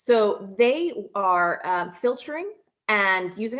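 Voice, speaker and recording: Speaking in an American accent, a woman uses a fairly high pitch. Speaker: company founder and CEO. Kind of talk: interview.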